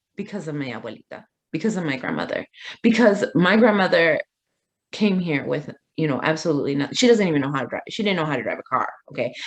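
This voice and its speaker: Delivered at a very fast pace in a Midwestern accent, the speech has an animated tone and lively intonation. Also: woman, fairly low pitch for a woman. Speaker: community advocate. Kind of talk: interview.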